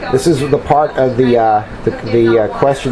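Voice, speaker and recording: A medium-pitched male voice speaks through noticeable background noise. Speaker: tarot reader. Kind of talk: tarot reading to camera. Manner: hesitant, many fillers.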